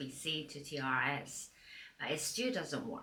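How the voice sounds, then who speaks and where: Room echo can be heard, along with noticeable noise in the background. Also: woman. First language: not English. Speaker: part-time YouTuber. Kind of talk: tutorial, reading from a teleprompter. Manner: scripted, read from teleprompter.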